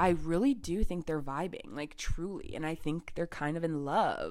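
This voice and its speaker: With an American accent, a woman speaks at a very deep, low pitch and a fairly slow pace. Her tone is animated, and her pitch varies in an ordinary way. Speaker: solo podcast host. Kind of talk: casual solo chat. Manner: animated, frequent laughter.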